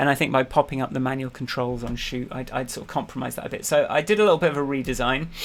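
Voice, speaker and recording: Pitch varies in an ordinary way. The speaker has a plain, everyday voice. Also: man. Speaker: app developer vlogger. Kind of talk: casual weekly update with screen demo.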